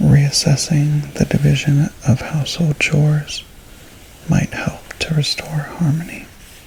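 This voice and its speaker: Soft-spoken delivery amid noticeable background noise. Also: fairly slow pace. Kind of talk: reading aloud from a horoscope book.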